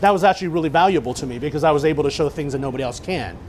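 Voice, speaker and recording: Noticeable background noise sits under this clip. A man with a fairly high voice speaks with ordinary pitch variation. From Chinese background. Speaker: chef. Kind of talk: cooking demonstration talk.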